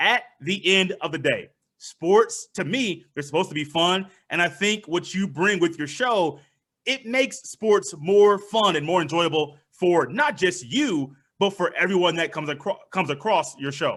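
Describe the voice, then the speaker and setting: Loud and high-pitched, a man speaks with lively intonation at a moderate pace. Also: very clean recording, silent background. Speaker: sports podcast host. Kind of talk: casual chat.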